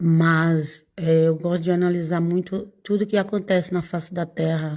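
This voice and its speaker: A woman's dark, mellow tone at a fairly slow pace. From Brazil, Bahia. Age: 60s. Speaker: evangelical preacher. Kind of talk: casual informal sermon. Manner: halting.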